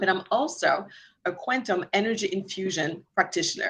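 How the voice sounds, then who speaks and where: A woman speaks in a French accent with ordinary pitch variation. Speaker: mortgage lender and energy healer. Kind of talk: online class guest introduction.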